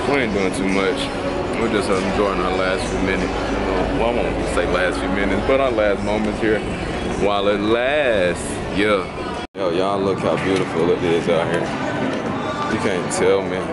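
Loud music plays behind a voice that moves at a moderate pace, broken by long, frequent pauses. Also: man. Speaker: travel vlogger. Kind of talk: casual vlog chat. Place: street. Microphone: phone near.

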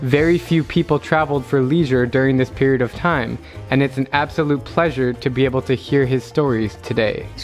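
The speech runs at a fairly quick pace with ordinary pitch variation and very even loudness. Music plays in the background. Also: man, medium pitch for a man. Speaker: travel vlogger. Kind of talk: travel vlog narration.

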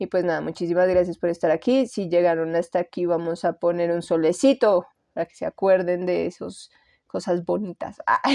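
In a dark, mellow tone, a woman talks at a moderate pace with a fairly low pitch. The sound is dry and close, without echo. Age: 30s. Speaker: tarot reader. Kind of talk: tarot reading. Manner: casual.

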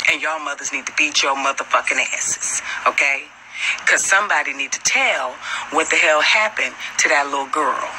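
At a moderate pace, a woman speaks with ordinary pitch variation over noticeable background noise. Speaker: livestreamer. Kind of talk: heated casual rant to viewers. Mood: angry, scolding. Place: street. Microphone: phone near.

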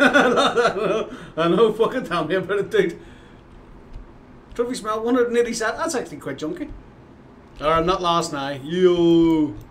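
A man speaks at a high pitch with lively intonation. He goes at a fairly slow pace, with long, frequent pauses. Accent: Northern Irish. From Northern Ireland. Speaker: video game streamer. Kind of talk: casual live-stream commentary. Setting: live stream at home. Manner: animated. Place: home room.

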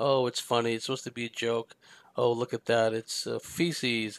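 A man with an American accent talks at a moderate pace. The sound is dry and close, with no echo. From San Francisco Bay Area, US. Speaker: podcast host, spiritual commentator. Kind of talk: solo monologue commentary.

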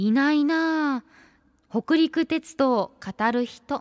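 Against a quiet background, a woman talks at a very slow pace with a Kansai accent. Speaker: radio host. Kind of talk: radio show talk. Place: studio.

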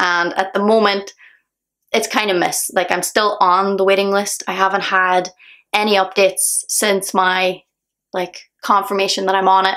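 Speaking with a Northern Irish accent, a woman keeps a moderate pace and very even loudness, her bright, sharp tone delivered in a monotone with flat intonation. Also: medium pitch for a woman, quiet background. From Northern Ireland. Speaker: singer. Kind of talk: casual talk to camera. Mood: calm, reflective, a bit earnest. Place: home room. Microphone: phone near.

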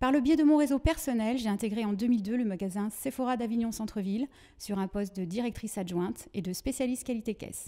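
Fairly high pitch from a woman, dark and mellow in tone, with ordinary pitch variation over a quiet background. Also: fairly quick pace. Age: 40s. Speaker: trainer and consultant; trainer. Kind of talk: prepared self-presentation. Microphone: handheld.

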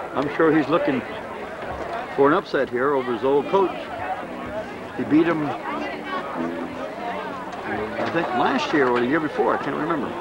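With music in the background, a man speaks at a moderate pace with ordinary pitch variation and long, frequent pauses, the sound dry with no echo. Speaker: amateur game commentator. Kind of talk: commentary. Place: stadium. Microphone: old recording.

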